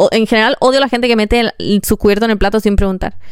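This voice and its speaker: Talking at a very fast pace, a woman sounds animated. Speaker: podcaster. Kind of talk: casual monologue.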